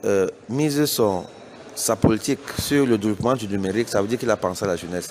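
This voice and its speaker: A man with a Cameroonian accent speaks at a fairly quick pace. His intonation is lively, and there is noticeable background noise. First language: Bassa (speaking French). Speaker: business executive. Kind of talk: interview statement. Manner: hesitant with fillers.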